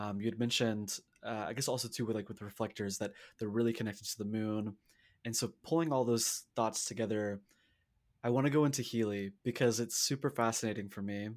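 A man with an American accent and a plain, everyday voice talks at a fairly quick pace and medium pitch with fairly even intonation, on a very clean recording with a silent background. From US South. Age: 20s. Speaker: podcast host. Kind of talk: casual interview.

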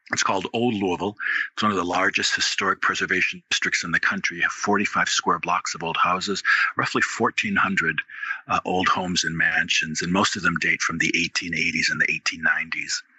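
A man speaks with an American accent at a moderate pace. There is noticeable background noise. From Wisconsin. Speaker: author and ghost tour guide. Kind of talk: interview storytelling.

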